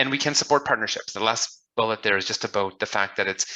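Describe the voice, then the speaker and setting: Bright and sharp in tone, a man speaks at a very fast pace. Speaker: business development advisor. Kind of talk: webinar presentation.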